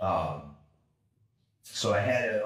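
With an American accent, a man speaks amid audible room echo. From California, San Diego (born New York). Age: 50s. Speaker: kettlebell and martial arts instructor. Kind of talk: interview, casual conversation. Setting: video call. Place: gym. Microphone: camera far.

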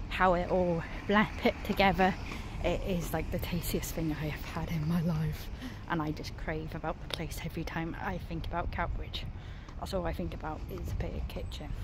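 At a moderate pace, a woman speaks in a dry recording with no echo and noticeable background noise. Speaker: vlogger. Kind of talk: casual vlog chat. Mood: cheerful, excited. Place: street. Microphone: phone near.

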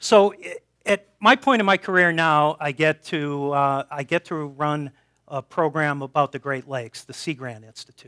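A man with an American accent, fairly high pitch and a bright, sharp tone, at a moderate pace with big swings in loudness against a quiet background. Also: ordinary pitch variation. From Boston. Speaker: professor and research institute director. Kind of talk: public science talk. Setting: stage with audience in a brewery. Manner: halting, many repeated words. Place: hall.

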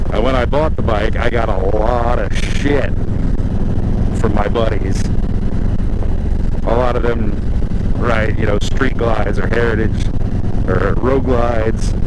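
Loud background noise surrounds a man who speaks with long, frequent pauses in a dry sound with no echo. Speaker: motorcycle vlogger. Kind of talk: casual vlog chat. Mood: relaxed, joking. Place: motorbike.

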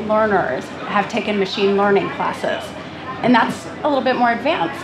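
A woman speaks at a moderate pace with a fairly high pitch and ordinary pitch variation over noticeable background noise. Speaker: tech executive. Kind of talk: panel discussion. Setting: stage with audience. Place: stage.

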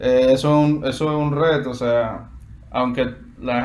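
A man talks with a Dominican accent and ordinary pitch variation. Light background noise is present. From Dominican Republic, Santo Domingo. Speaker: guitarist and music student. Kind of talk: interview. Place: home room. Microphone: video call.

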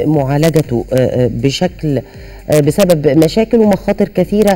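This woman's voice sits at a very deep, low pitch. She talks at a fairly slow pace. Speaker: TV program host. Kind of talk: program introduction. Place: studio.

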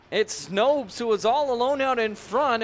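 Against noticeable background noise, a man talks in an excited tone with ordinary pitch variation. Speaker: hockey play-by-play commentator. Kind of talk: live sports commentary. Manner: excited on goals, rising energy.

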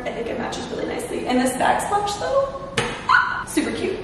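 Recorded with noticeable background noise and strong room echo, a woman is speaking. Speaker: vlogger. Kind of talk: casual vlog chat. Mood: excited, cheerful. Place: empty room.

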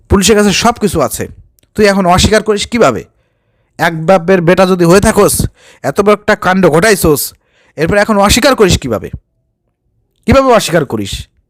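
On a very clean recording with a silent background and a dry, close sound with no echo, a man speaks at a high pitch with ordinary pitch variation. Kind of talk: commentary video. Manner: animated.

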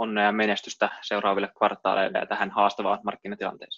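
A man's fairly low voice with a bright, sharp tone, set against a quiet background. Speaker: investment analyst interviewer. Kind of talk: business interview. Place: home room. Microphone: webcam.

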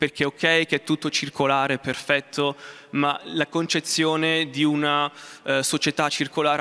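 This man's voice is fairly high-pitched, with a bright, sharp tone. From Umbria, Italy. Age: 20s. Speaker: space researcher. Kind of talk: motivational talk. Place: hall. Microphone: handheld.

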